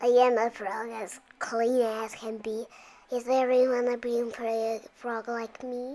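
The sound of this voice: This put-on character voice sits fairly high in pitch and moves at a fairly slow pace. The intonation stays monotone and flat.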